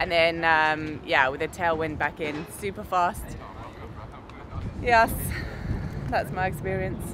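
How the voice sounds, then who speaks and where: This woman's voice is very deep and low, and she talks at a very slow pace. The sound is dry with no echo, though background noise is noticeable. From Britain. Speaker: race commentator. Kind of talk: interview answer. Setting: outdoors at a triathlon event. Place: street. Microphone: camera far.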